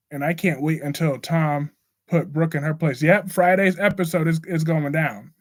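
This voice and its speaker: With an American accent, a man talks in a normal speaking voice at a fairly high pitch, keeping a moderate pace and fairly even intonation. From US South. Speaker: live stream host discussing soap operas. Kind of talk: casual live stream chat. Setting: live stream.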